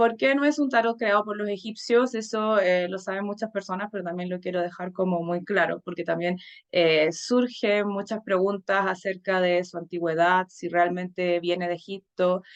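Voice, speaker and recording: A woman's medium-pitched voice at a moderate pace, ordinary pitch variation and hardly any pauses. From Chile, Santiago. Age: 30s. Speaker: tarot reader and teacher. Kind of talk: conference talk. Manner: hesitant with frequent fillers.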